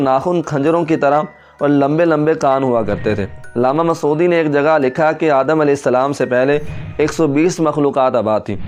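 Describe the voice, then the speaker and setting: A man's fairly high-pitched voice with music in the background. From Pakistan. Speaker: voice-over artist and Quran reciter. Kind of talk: religious history narration.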